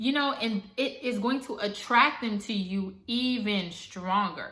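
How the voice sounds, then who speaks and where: Her tone animated, a woman speaks at a fairly high pitch and a fairly slow pace amid audible room echo. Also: ordinary pitch variation. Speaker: manifestation coach and YouTuber. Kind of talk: tutorial.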